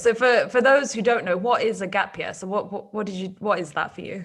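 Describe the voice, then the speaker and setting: A woman's fairly high voice in a British accent, at a fairly quick pace with ordinary pitch variation. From UK. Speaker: podcast host. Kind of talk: podcast interview.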